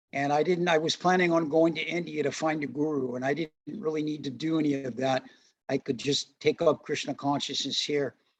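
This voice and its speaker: A man speaks with an American accent at a fairly quick pace. His pitch is fairly high. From US Midwest, St. Louis, Missouri. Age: 60s. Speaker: Hare Krishna devotee and religious teacher. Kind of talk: interview, personal testimony. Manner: relaxed, with frequent fillers.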